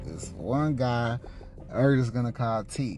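Through noticeable background noise, a man with an American accent speaks at a fairly slow pace. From Houston, Texas. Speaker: podcast host. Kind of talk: personal storytelling monologue. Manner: casual, filler-heavy.

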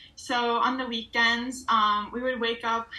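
There is noticeable background noise behind this woman. She speaks with an American accent at a fairly high pitch and a fairly slow pace. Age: young. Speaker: college student and photographer. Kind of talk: casual interview.

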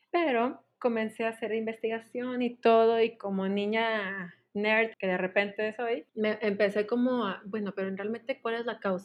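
With hardly any pauses, a woman speaks at a fairly high pitch and with fairly even intonation. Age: 20s. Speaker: education graduate. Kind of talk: casual interview. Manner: slow.

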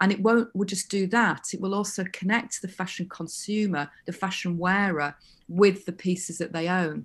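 A woman with a Yorkshire accent talks at a moderate pace and medium pitch, sounding somewhat breathy. The background is quiet. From West Yorkshire, England. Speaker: fashion lecturer. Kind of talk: interview. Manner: halting, many fillers and restarts.

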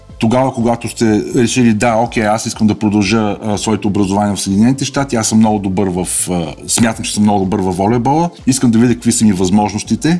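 Amid noticeable background noise, a man talks very fast at a fairly low pitch with ordinary pitch variation. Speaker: volleyball coach and student-athlete recruiting agent. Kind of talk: podcast interview.

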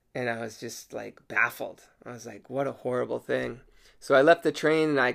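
Recorded very cleanly against a silent background, a man talks at a moderate pace. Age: 30s. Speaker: podcast host and comedian. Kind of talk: casual solo podcast monologue.

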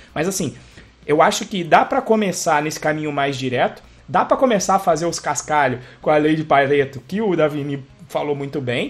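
A man with a normal speaking voice, fairly high in pitch, at a fairly quick pace with ordinary pitch variation. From Brazil. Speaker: podcast host, computer engineer. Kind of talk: casual chat.

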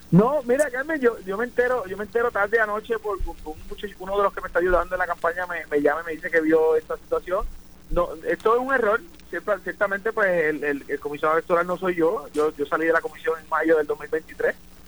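A man's high-pitched voice rises and falls with lively intonation as he talks fairly quickly. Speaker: lawyer and former electoral commissioner. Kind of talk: live radio interview. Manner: halting, many repetitions.

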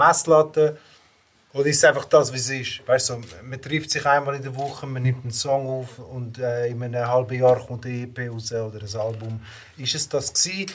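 A somewhat breathy male voice at medium pitch, fairly quick in pace, with fairly even intonation and big swings in loudness. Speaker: rapper. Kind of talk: casual chat.

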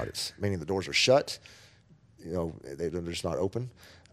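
A man with a Texan accent speaks in a very deep, low voice, recorded very cleanly against a silent background. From Texas Panhandle (Amarillo). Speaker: school superintendent. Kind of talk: interview.

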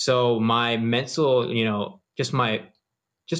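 Over a quiet background, a man with an American accent uses an ordinary speaking voice, medium in pitch and with fairly even intonation. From US East Coast. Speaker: podcast host. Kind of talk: casual interview chat. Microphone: distant room sound, poor self-recording.

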